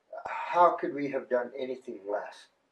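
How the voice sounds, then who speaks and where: Man with an American accent at a moderate pace, with audible room echo. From US West, northern Arizona. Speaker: rancher and protest occupier; interviewee. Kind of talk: on-location interview. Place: home room. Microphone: camera far.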